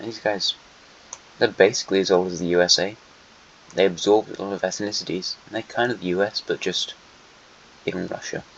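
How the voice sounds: A put-on character voice, croaky and monotone with flat intonation. The pace is fairly quick, broken by long, frequent pauses. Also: man, fairly low pitch for a man.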